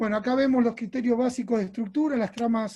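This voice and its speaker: Dark and mellow in tone, the voice keeps its intonation fairly even. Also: man. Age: 50s. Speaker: orthotist. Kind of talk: lecture. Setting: presentation to medical team.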